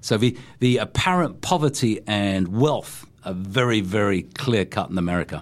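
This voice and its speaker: In a very clean recording with a silent background, a man talks at a moderate pace with a fairly low pitch and lively intonation. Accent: London. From England. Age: 60s. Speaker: gardening and landscaping expert, former teacher. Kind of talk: casual interview. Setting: studio.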